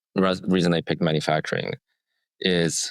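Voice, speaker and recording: A man's very deep, low voice at a moderate pace, with a dry, close sound with no echo, on a very clean recording with a silent background. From Romania. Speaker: tech startup founder. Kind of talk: podcast interview. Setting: studio. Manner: halting, many fillers and restarts.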